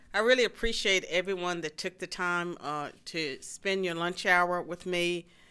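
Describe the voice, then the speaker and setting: Recorded very cleanly with a silent background, a woman with an Appalachian Virginia accent speaks at a moderate pace with a fairly low pitch and a bright, sharp tone. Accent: Southern US (Appalachian Virginia). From rural southwestern Virginia, US. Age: 60s. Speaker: political science professor and author. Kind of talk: policy lecture. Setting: stage with live audience.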